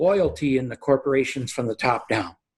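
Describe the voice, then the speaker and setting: A man speaks at a moderate pace in a medium pitch, somewhat breathy, with ordinary pitch variation. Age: 70s. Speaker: real estate securities lawyer. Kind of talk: podcast interview. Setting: video call. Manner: halting.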